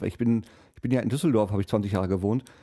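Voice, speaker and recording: A man speaks very fast in a dark, mellow tone. His pitch variation is ordinary. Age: 40s. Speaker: podcast host. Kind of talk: casual chat.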